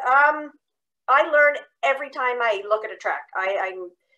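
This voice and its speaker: A woman's raised, projected voice with a bright, sharp tone, over a quiet background. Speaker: nature educator. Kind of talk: online presentation. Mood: light, joking. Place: home room. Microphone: video call.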